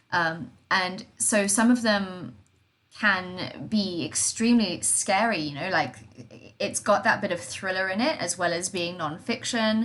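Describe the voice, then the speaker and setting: A woman with an unremarkable speaking voice, medium in pitch, with lively intonation and a fairly slow pace. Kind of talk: casual podcast conversation.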